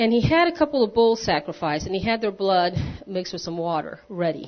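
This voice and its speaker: A woman speaks at a medium pitch with ordinary pitch variation. She has a normal speaking voice. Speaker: lay church leader. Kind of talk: sermon. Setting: church.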